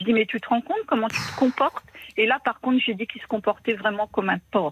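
A somewhat breathy woman, fairly high in pitch and very fast in pace, in a dry, close sound with no echo. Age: 50s. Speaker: widowed caller. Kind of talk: personal testimony on the phone. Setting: phone call.

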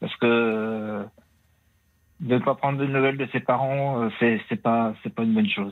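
A man's fairly even intonation, broken by long, frequent pauses. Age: 60s. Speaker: caller. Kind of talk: testimony. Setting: phone call.

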